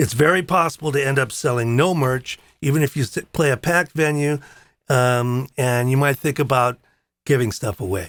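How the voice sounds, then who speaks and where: The recording is very clean with a silent background, and the sound is dry and close with no echo. A man speaks in a normal speaking voice at a medium pitch and moderate pace, with ordinary pitch variation. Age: 60s. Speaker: drummer and show host. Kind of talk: live-stream talk. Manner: casual.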